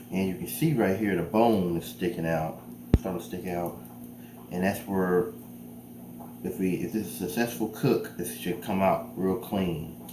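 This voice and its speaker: Amid noticeable background noise and audible room echo, a man with a very deep, low pitch and very wide pitch swings talks at a moderate pace with long, frequent pauses. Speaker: cooking youtuber. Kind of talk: cooking tutorial. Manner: casual; soft-spoken.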